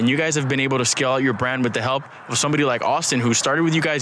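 Very fast speech from a man at medium pitch, fairly even in intonation, over noticeable background noise. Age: 20s. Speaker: podcast host, investor and entrepreneur. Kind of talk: casual interview chat.

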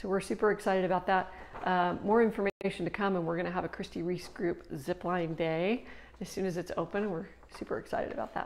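A woman talks at a very fast pace with ordinary pitch variation. Light background noise sits under her voice. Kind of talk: casual market update talk. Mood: cheerful, laughing a little. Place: office. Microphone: lapel.

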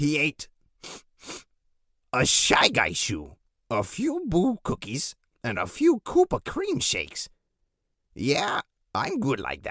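With long, frequent pauses, a man speaks at a fairly slow pace in a dry, close sound with no echo. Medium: comedy sketch. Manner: scheming, boastful.

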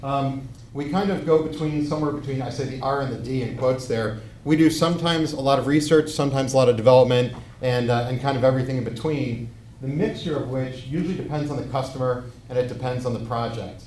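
A man talks at a very fast pace with fairly even intonation, audible room echo and light background noise. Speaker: robotics researcher; presenter. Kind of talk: lecture. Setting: stage with audience. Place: hall.

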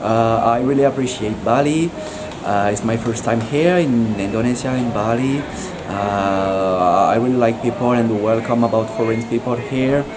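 Noticeable background noise sits behind a man talking at a moderate pace, with very even loudness and ordinary pitch variation. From France. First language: French. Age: 20s. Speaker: Muay Thai fighter. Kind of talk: street interview. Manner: halting.

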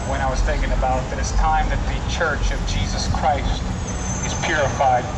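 A man keeps a moderate pace as loud background noise fills the clip. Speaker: street preacher. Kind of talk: sermon. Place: street.

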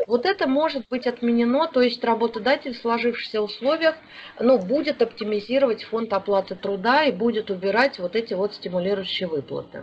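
Against noticeable background noise, a woman at a fairly high pitch talks at a fairly quick pace with lively intonation. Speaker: HR consultant and seminar lecturer. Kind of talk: online seminar lecture. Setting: online webinar. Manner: hesitant, many filler sounds.

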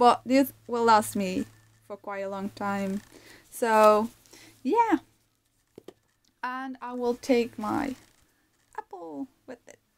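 A woman with a non-native accent and a fairly high pitch speaks at a very slow pace, with long, frequent pauses. Her loudness swings widely, while her pitch varies in an ordinary way. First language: not English. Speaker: vegan lifestyle vlogger. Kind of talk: casual talk to camera.

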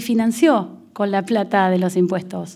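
A woman's pace is fairly slow. Little can be heard behind her, as the background is quiet. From Argentina. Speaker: prosecutor; panelist. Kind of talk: lecture. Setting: auditorium with audience. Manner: formal. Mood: earnest, argumentative. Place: hall. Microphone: podium.

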